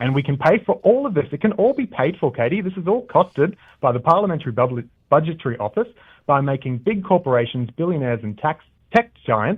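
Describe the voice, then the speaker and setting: A man talks at a very fast pace with an Australian accent. His pitch is fairly high and swings very widely. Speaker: political candidate. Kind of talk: radio interview. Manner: scripted-sounding, formal.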